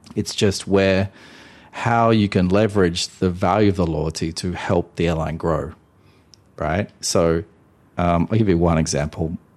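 Against a quiet background, a man with an Australian accent speaks at a fairly slow pace in a very deep, low pitch, with fairly even intonation and long, frequent pauses. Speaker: airline loyalty industry executive. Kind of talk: interview.

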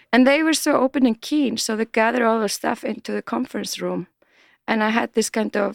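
A woman with an Icelandic accent speaks in a fairly high voice with ordinary pitch variation. The recording is very clean, dry and close, with no echo and a silent background. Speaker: multimedia artist. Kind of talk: casual interview chat.

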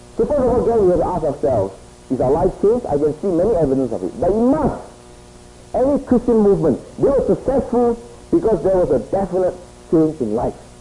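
Over noticeable background noise, the voice moves at a very fast pace with very wide pitch swings. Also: man, high pitch for a man. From Singapore. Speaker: preacher. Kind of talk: sermon. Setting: stage with audience.

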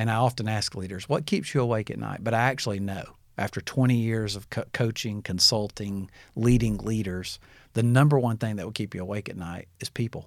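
A man's fairly low voice at a fairly quick pace, with fairly even intonation, big swings in loudness, and a very clean recording with a silent background. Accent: Alabama. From Alabama, US South (Birmingham). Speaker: former pastor, leadership coach. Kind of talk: interview. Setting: studio.

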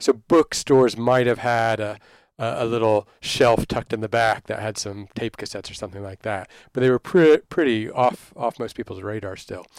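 An ordinary speaking voice from a man with an American accent, medium pitch, ordinary pitch variation, moderate pace and big swings in loudness, in a very clean, dry, close recording with no echo and a silent background. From Texas, Dallas. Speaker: literature professor. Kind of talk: interview.

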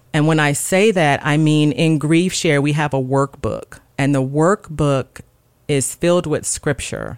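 Speaking at a fairly slow pace in a Mississippi accent, the voice shows ordinary pitch variation. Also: woman. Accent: Southern US (Mississippi). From US South, Gulfport, Mississippi. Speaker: registered nurse. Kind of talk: casual chat.

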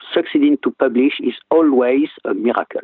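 A moderate pace in a French accent. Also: man. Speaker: physician and professor. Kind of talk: interview. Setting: phone call.

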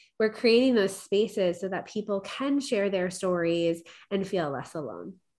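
An ordinary speaking voice from a woman with an American accent, medium in pitch with ordinary pitch variation, at a fairly slow pace over a quiet background. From New York, Long Island. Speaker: corporate leader and coach. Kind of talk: interview.

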